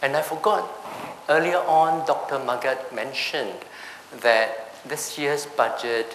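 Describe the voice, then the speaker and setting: A man speaks slowly, at a fairly slow pace and a fairly high pitch. Noticeable background noise and audible room echo come through. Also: ordinary pitch variation. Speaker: tax seminar speaker. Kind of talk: seminar presentation.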